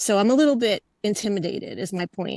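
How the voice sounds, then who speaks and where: A fairly quick pace carries lively intonation and some vocal fry. The sound is dry and close, with no echo. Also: woman. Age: 60s. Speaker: webinar participant. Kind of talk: casual chat.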